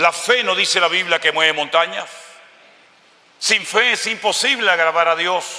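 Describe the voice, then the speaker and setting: With noticeable background noise around him, a man speaks in an animated tone at a high pitch and moderate pace, his pitch varying ordinarily, his loudness very even, and his pauses long and frequent. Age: 60s. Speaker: pastor. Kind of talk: sermon.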